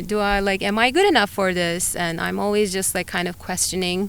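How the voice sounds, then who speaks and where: A woman talks in a medium pitch. She speaks with a Turkish accent. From Turkey, Antalya. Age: 40s. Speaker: biologist and climber. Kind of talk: interview conversation. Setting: outdoors on a hilltop. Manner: hesitant, many fillers.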